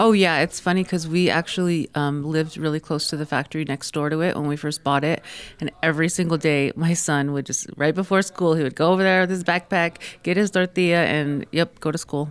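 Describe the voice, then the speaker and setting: Speaking fairly quickly, a woman uses a very deep, low pitch with an American accent. Her intonation stays fairly even. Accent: New York accent gone. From New York City, Queens (born Tucson). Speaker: small business owner. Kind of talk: radio interview. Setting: radio studio.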